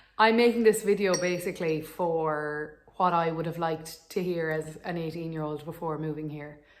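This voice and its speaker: Speaking at a moderate pace with hardly any pauses, a woman uses a fairly low pitch and fairly even intonation, while her loudness swings widely. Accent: Irish. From Ireland. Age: 20s. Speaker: vlogger, dental student. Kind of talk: casual vlog advice talk.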